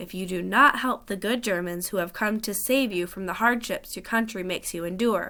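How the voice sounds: Pitch varies in an ordinary way as a natural voice reads aloud.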